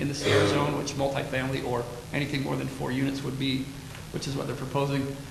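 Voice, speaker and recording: A man's fairly high voice comes through audible room echo and noticeable background noise. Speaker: city planning staff presenter. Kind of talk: staff report presentation at council meeting. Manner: loud.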